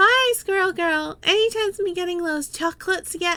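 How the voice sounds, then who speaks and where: Doing a put-on character voice, a woman sounds squeaky at an extremely high pitch and a moderate pace. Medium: game stream. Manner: chipper, sing-song.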